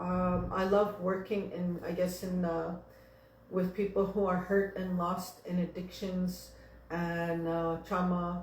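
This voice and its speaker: A woman speaks very slowly at a medium pitch. Her intonation is monotone and flat, with noticeable background noise. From Sweetgrass First Nation, central Saskatchewan, Canada. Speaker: Nakota Cree traditional teacher and cultural advisor; healing and addictions counsellor. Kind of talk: personal talk about her work and experiences.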